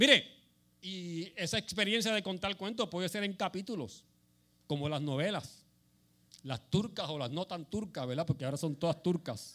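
A man speaks at a high pitch with lively intonation. His tone is bright and sharp. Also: moderate pace. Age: 70s. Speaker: lay preacher. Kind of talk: sermon.

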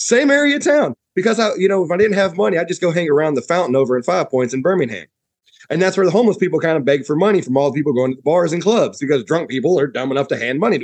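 With an American accent, a man talks at a very fast pace in a high pitch, his voice making very wide pitch swings. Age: 40s. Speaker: podcast guest. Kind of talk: casual chat.

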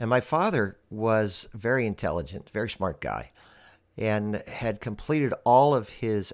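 This man has an ordinary speaking voice, fairly low in pitch with ordinary pitch variation. The recording is very clean, with a silent background. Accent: American. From Pennsylvania, US. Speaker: podcast host. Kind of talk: scripted monologue.

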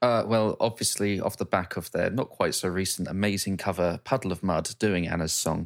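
This man has an ordinary speaking voice, pitched fairly low, with fairly even intonation. He talks at a moderate pace with hardly any pauses on a very clean recording with a silent background. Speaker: podcast host. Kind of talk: casual chat.

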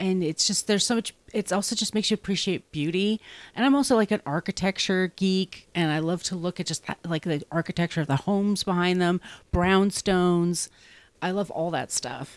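A woman talks at a moderate pace in a normal speaking voice with ordinary pitch variation. The sound is dry and close with no echo, on a very clean recording with a silent background. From US Northeast, Long Island, New York. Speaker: author and podcaster. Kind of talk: casual chat.

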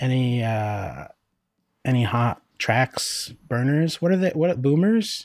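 In a very clean recording with a silent background, a man with an American accent speaks at a very slow pace and a medium pitch, with lively intonation and very even loudness. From Northeast Pennsylvania. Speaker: podcast co-host. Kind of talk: casual chat. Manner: halting.

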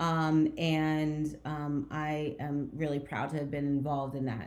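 Audible room echo surrounds a woman with an American accent whose pitch is very deep and low. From New Jersey, near Trenton and Montclair. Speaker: real estate executive. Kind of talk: interview.

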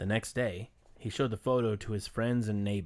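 The speaker uses a natural reading voice. Intonation remains fairly even throughout.

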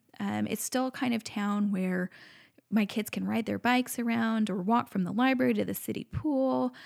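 A woman talks at a moderate pace in an American accent. The recording is very clean, with a silent background. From Montana, Flathead Valley. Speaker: farmer and teacher. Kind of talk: casual interview. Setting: on location at the farm. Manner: hesitant, many fillers.

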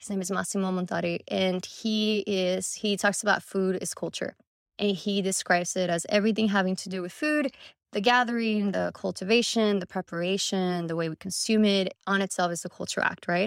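A plain, everyday voice with an American accent speaks at a fairly quick pace with fairly even intonation. The recording is very clean, with a silent background and a dry, close sound with no echo. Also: woman, medium pitch for a woman. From Mexico, then Laredo, Texas from age eleven. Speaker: architecture graduate student, design competition winner. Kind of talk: interview.

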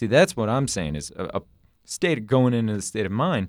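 An ordinary speaking voice from a man, with lively intonation and a moderate pace, on a very clean recording with a silent background. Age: 20s. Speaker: podcast guest. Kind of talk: casual chat.

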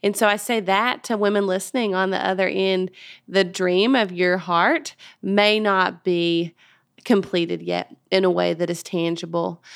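A woman uses a plain, everyday voice at a medium pitch, with fairly even intonation. She talks at a fairly slow pace on a very clean recording with a silent background. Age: 30s. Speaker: podcast host, women's ministry leader. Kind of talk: faith-based interview.

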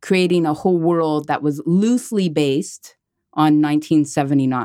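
On a very clean recording with a silent background, a woman speaks fairly slowly in a very deep, low pitch with ordinary variation. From Quebec, Montreal. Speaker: visual artist. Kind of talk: casual interview. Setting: studio.

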